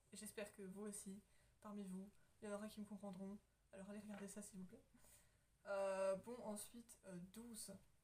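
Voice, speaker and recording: This woman's voice is medium in pitch, monotone and flat. She keeps a moderate pace with long, frequent pauses. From France. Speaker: YouTuber. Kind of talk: casual chat.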